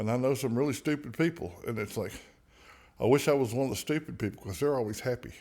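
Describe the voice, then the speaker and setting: A man with a Southern US accent talks at a very fast pace. His pitch varies in an ordinary way. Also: medium pitch for a man. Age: 60s. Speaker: singer-songwriter. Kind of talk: casual chat.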